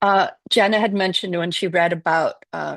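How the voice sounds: A woman's fairly low voice with vocal fry, a moderate pace, and ordinary pitch variation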